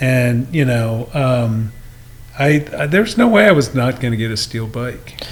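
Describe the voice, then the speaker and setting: Against noticeable background noise, a man at medium pitch speaks fairly slowly with ordinary pitch variation. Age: 60s. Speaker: cyclist guest. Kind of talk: casual chat.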